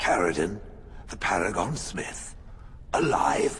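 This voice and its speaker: Putting on a character voice, a man talks fairly slowly in a very deep, low register over clear background noise. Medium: video game. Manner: blunt, formal.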